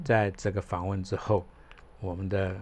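The man's pitch is fairly low, with ordinary variation. He keeps a moderate pace. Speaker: podcast host. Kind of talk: casual interview chat.

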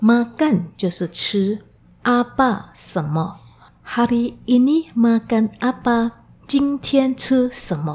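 A woman's high voice with a dark, mellow tone, lively intonation, and a very slow pace. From Indonesia (ethnic Chinese). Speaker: Indonesian language teacher. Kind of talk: language lesson. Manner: slow, explanatory.

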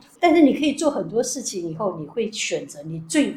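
A woman speaks in a somewhat breathy voice. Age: 60s. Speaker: retired national health insurance official. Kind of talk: interview.

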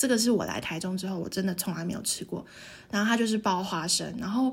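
At a medium pitch, a woman sounds somewhat breathy, with fairly even intonation. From Taiwan, Tainan. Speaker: podcast co-host. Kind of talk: casual chat.

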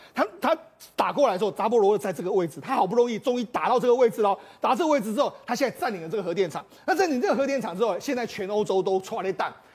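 With lively intonation, a high-pitched man rattles along at a very fast pace. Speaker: political commentator. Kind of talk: TV talk show panel discussion. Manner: animated.

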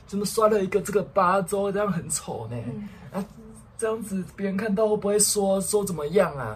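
With a Taiwanese accent, a high-pitched man speaks at a fairly quick pace. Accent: Taiwanese Mandarin. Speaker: podcast co-host. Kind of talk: casual chat.

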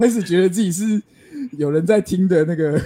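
A man with a Taiwanese accent talks at a moderate pace in a high pitch with ordinary pitch variation. His tone is dark and mellow. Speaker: podcast co-host. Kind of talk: casual chat.

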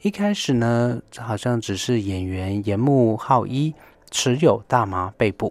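A man at medium pitch, very slow pace and ordinary pitch variation, on a very clean recording with a silent background. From Taiwan. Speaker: music expert. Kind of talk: radio talk on music history. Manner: halting with many fillers.

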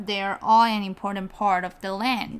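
Speaking at a fairly slow pace with a Mandarin accent, a woman uses a fairly high voice with ordinary pitch variation. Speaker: podcast co-host. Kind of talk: bilingual casual chat for learners. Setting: studio.

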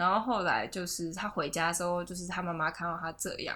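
A woman with a Taiwanese accent speaks at a moderate pace in a bright, sharp tone and a fairly low pitch. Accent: Taiwanese Mandarin. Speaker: podcast host. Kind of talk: casual chat. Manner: frequent laughter and fillers.

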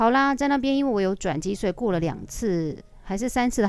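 A woman's medium-pitched voice with a Taiwanese accent, lively intonation and a fairly quick pace. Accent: Taiwanese Mandarin. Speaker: aerobics instructor. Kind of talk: casual storytelling monologue.

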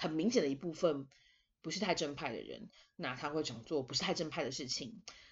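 Animated and lively in intonation, a woman speaks at a fairly quick pace in a very deep, low voice that is somewhat breathy. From Taiwan. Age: 20s. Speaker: podcast host. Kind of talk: casual monologue.

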